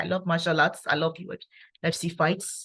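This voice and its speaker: A quiet, somewhat breathy woman's voice, fairly low in pitch, with a calm tone and a moderate pace. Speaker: engineer and network marketer giving testimony. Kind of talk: testimony. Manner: calm, quiet.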